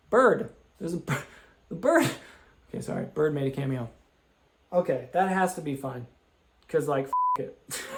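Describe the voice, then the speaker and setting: Loud, shouting delivery with an animated tone, lively intonation, a moderate pace and long, frequent pauses. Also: man, fairly high pitch for a man. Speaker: gaming video creator. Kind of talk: game commentary. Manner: loud, yelling; high-pitched, animated.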